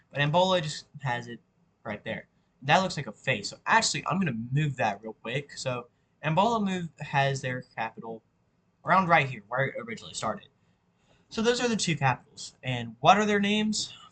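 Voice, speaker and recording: A man speaks at a fairly quick pace in a fairly high pitch, his tone bright and sharp. His pitch swings very widely and his loudness rises and falls in big swings. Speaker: YouTuber making map history videos. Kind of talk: casual tutorial-style narration while drawing. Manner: halting, self-correcting.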